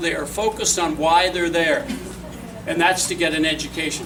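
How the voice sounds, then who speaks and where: A loud man speaks at a moderate pace with a high pitch and ordinary pitch variation, amid audible room echo and noticeable background noise. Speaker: public speaker. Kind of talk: public talk.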